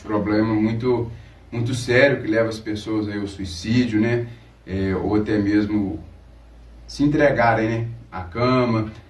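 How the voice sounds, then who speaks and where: Fairly low-pitched and somewhat breathy, a man speaks at a fairly slow pace with long, frequent pauses. His intonation stays fairly even. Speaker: radio host. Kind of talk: radio talk show interview.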